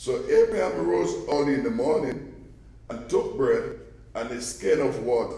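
Audible room echo follows a man talking at a fairly slow pace. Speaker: scripture reader. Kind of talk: scripture reading. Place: church.

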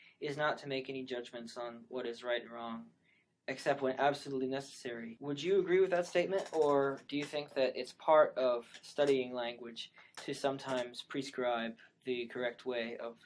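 In a plain, everyday voice, a man talks at a moderate pace and medium pitch with fairly even intonation but big swings in loudness. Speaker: linguistics grad student, podcast host. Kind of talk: podcast interview questions.

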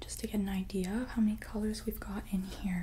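Soft-spoken and gentle in tone, the voice comes through light background noise. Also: woman. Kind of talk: soft-spoken ASMR roleplay consultation. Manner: soft-spoken, gentle close-mic ASMR voice. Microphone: earbuds.

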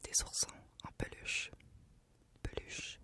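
A woman whispering at a moderate pace. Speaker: news channel journalist. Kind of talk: casual talk to camera. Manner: whispered, soft-spoken. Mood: playful, slightly uneasy. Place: studio. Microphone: studio mic.

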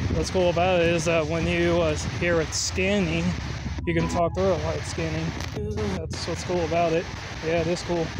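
Loud background noise behind a man talking at a fairly quick pace. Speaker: amateur ghost hunter. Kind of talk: casual vlog commentary. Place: open country. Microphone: phone near.

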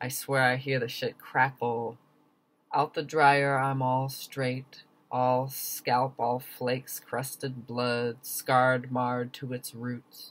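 A man speaks very slowly in an American accent, his delivery monotone and flat. His tone comes across as intense. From US. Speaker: poet. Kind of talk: spoken word poetry performance, reading own poem. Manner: rhythmic, emphatic, intense. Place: home room. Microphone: webcam.

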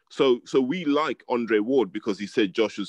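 A man with a London accent, in a dry sound with no echo. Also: quiet background. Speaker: boxing pundit. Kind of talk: casual chat. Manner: articulate. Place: home room. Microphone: webcam.

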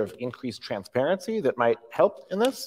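His pitch moves in very wide swings. The speaker is a man. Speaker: science fiction author and clean tech investor; interviewer, host. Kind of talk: onstage interview. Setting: stage with audience. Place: stage. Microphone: lapel.

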